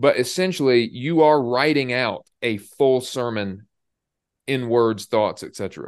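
Slow-ish and plain, a man's voice is a plain, everyday voice at medium pitch with an American accent. He speaks at a fairly slow pace with ordinary pitch variation against a quiet background. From Indiana. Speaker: pastor and podcast co-host. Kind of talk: casual conversation.

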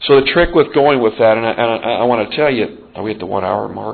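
A man with an American accent has a plain, everyday voice at medium pitch. He talks at a moderate pace with ordinary pitch variation. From Montana. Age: 40s. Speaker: support group leader. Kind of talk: recovery meeting share. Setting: meeting room with audience and microphone.

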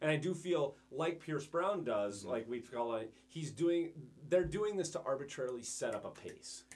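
A man with vocal fry speaks at a fairly high pitch. His tone is animated and theatrical, with lively intonation. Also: moderate pace. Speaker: podcast host. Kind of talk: casual chat. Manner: animated, theatrical intro.

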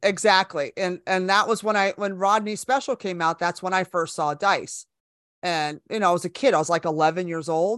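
A normal speaking voice with an American accent moves at a moderate pace with ordinary pitch variation, in a very clean recording with a silent background and a dry, close sound with no echo. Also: woman, medium pitch for a woman. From California, Bay Area. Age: 50s. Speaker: comedian. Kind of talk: casual chat.

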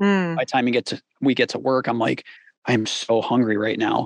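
A man talks in a plain, everyday voice at medium pitch, with ordinary pitch variation and a moderate pace. The sound is dry and close, with no echo. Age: 30s. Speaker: mix engineer and YouTube creator. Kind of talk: casual interview conversation.

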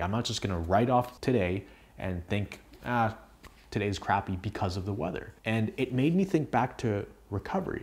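On a very clean recording with a silent background, a man speaks at a fairly low pitch in a somewhat breathy voice. His intonation is lively and his pace moderate. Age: 20s. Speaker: health coach and video creator. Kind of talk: direct-to-camera talk video. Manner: casual, conversational.

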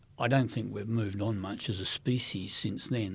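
A man speaks with an Australian accent. His voice is somewhat breathy. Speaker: former intelligence agency director. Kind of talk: interview. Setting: studio.

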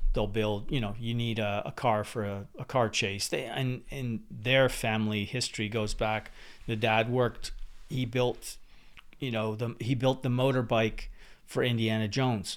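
A man talks at a moderate pace with medium pitch in an ordinary speaking voice. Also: fairly even intonation. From New Brunswick, Canada (born in England, moved at six). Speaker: camera car driver and film equipment executive. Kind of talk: casual chat.

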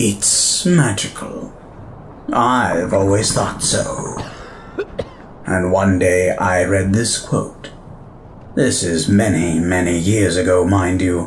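Over clear background noise, a put-on character voice moves at a very slow pace with long, frequent pauses. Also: man, very deep, low pitch for a man. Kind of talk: audio drama acting. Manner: wry, theatrical, self-satisfied.

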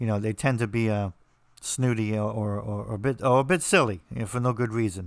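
A man talks at a fairly quick pace with a New Jersey accent. His pitch varies in an ordinary way. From New Jersey, US. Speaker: podcast host and author. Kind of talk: casual monologue. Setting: remote recording over internet. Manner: halting, many repetitions.

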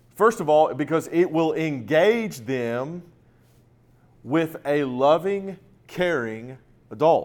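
An animated man on a very clean recording with a silent background. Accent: American. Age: 40s. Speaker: ministry events director. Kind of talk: conference seminar talk.

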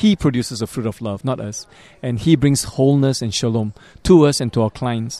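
A man talks at a very fast pace with a medium pitch, a dark, mellow tone and ordinary pitch variation. The sound is dry and close with no echo, in a very clean recording with a silent background. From Singapore. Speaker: psychology professor and pastor. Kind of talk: interview.

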